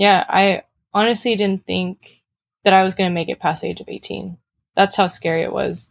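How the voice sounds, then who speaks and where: Speaking at a moderate pace with vocal fry, a medium-pitched woman shows big swings in loudness on a very clean recording with a silent background, the sound dry and close with no echo. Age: 20s. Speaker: race car driver and student. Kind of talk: interview.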